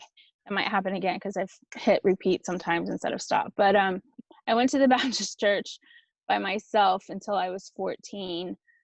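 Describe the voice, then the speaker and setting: A speaker with a Texan accent talks at a fairly quick pace with fairly even intonation and big swings in loudness, leaving long, frequent pauses. The sound is dry and close, with no echo. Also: woman, medium pitch for a woman. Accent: Texan American English. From rural South Texas. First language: Spanish. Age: 40s. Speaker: author and speaker. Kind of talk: casual interview chat. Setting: video call. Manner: fast.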